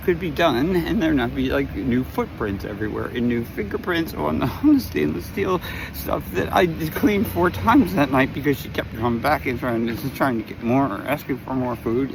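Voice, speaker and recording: A man of medium pitch speaks with very wide pitch swings and hardly any pauses. Noticeable background noise runs underneath. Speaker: video blogger. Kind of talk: casual storytelling monologue. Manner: fast.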